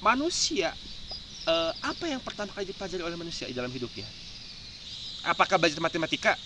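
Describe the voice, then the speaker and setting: A man with a West Javanese accent, high pitch, very fast pace, lively intonation, big swings in loudness and long, frequent pauses, amid noticeable background noise. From West Java, Indonesia (Sundanese). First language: Sundanese (speaking Indonesian). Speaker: video host. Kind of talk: casual chat.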